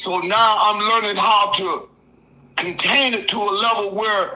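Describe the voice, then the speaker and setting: Projecting a raised voice, a man speaks high-pitched at a fairly slow pace with fairly even intonation. Noticeable background noise and audible room echo are present. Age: 60s. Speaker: caller. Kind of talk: casual chat.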